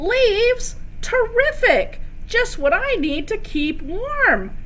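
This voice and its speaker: A woman does a put-on character voice that is both gruff and squeaky, at a very slow pace. Background noise is clearly audible. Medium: read story. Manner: snuffly, gruff.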